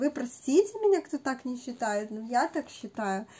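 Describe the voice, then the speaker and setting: A woman with a high pitch speaks at a moderate pace with lively intonation. Noticeable background noise is present. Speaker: beauty video blogger. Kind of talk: casual talk to camera, decluttering review. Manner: animated, repetitive.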